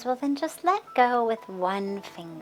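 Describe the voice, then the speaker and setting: A woman puts on a character voice, high-pitched and soothing in tone. She speaks at a fairly slow pace over clear background noise. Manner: coaxing, soothing.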